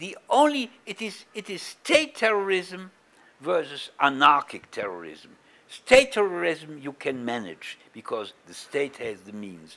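Bright and sharp in tone, a man's high voice moves slowly, with very wide pitch swings and big swings in loudness. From Germany. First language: German. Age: 70s. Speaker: Holocaust survivor and activist; interviewee. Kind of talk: interview. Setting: East Jerusalem, on location. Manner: halting, many repetitions. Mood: earnest, explaining.

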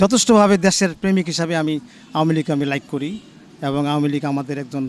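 The speaker is a man. His voice rises and falls in an ordinary way. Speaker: retired university administrator, local resident. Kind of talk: street interview.

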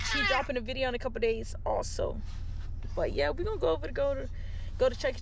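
A woman at a very fast pace, dry sound with no echo, noticeable background noise behind her. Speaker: vlogger. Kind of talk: casual vlog chat. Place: car. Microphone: phone near.

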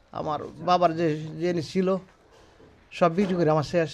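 A man talks in a high pitch. His intonation is flat and monotone. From Kishoreganj, Bangladesh. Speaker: kidney patient. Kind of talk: testimony. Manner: halting.

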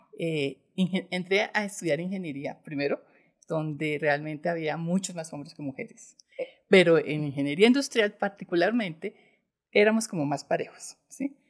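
In a plain, everyday voice, a woman speaks at a moderate pace with lively intonation and fairly low pitch against a quiet background. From Bogotá, Colombia. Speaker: bank executive; guest. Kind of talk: interview. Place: studio. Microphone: studio mic.

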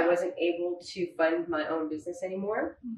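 Audible room echo surrounds a woman who speaks at a moderate pace with a fairly low pitch. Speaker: guest. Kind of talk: interview answer. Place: home room.

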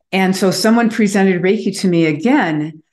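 Against a quiet background with audible room echo, a woman with an American accent speaks at a medium pitch. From US Midwest, Chicago. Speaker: author and Reiki master; podcast interview guest. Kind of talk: interview. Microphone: video call.

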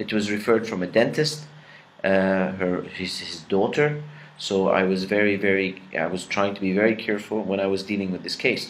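With an Arabic accent, a man speaks at a fairly low pitch and moderate pace with ordinary pitch variation over light background noise. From Egypt. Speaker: dentistry professor. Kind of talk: lecture. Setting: pre-recorded lecture. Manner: halting with many fillers. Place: home room. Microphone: webcam.

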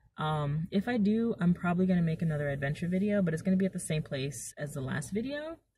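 A woman's fairly low, somewhat breathy voice with a dark, mellow tone and lively intonation, very fast with hardly any pauses, in a dry sound with no echo. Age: 20s. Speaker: vlogger. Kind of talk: casual vlog monologue. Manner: animated. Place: car. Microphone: phone near.

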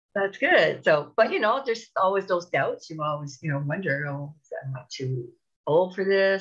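A somewhat breathy woman speaks at a moderate pace with lively intonation and big swings in loudness over a quiet background. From Canada. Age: 50s. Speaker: TEFL course graduate, supply teacher. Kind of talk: interview. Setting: video call. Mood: warm, upbeat. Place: home room. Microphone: earbuds.

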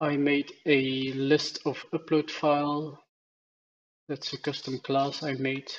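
Delivery is flat and monotone. The pace is very slow. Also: man, fairly high pitch for a man. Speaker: programming tutorial presenter. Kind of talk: tutorial. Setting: screen recording.

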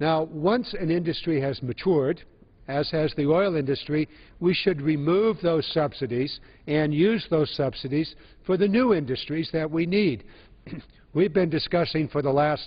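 Speaking at a moderate pace, the man lets his pitch vary in an ordinary way. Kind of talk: floor speech. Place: hall. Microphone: podium.

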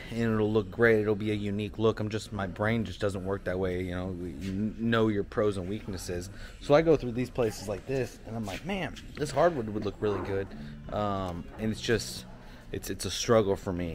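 Light background noise sits behind a man whose fairly low pitch carries at a moderate pace. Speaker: small business owner vlogger. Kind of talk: casual vlog chat. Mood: relaxed, reflective. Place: shop. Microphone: phone near.

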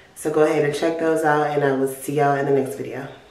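Over noticeable background noise and audible room echo, a woman speaks with a very deep, low pitch and flat, monotone intonation. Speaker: vlogger. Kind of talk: casual vlog outro.

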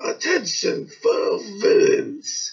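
Using a put-on character voice, a man pitches himself extremely high. A slight echo hangs on the recording. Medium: audio drama. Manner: commanding.

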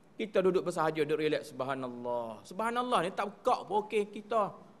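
Quick-paced and high-pitched, a man talks with very wide pitch swings. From Kelantan, Malaysia; Malaysia. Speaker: religious teacher. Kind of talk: religious lecture. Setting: prayer hall. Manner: halting, with fillers. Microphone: podium.

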